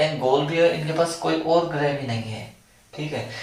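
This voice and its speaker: Recorded with audible room echo and noticeable background noise, a man speaks at a fairly high pitch with ordinary pitch variation. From Rajasthan, India. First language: Marwari (speaking Hindi). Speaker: online exam-prep teacher. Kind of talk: video lecture. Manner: casual, chatty.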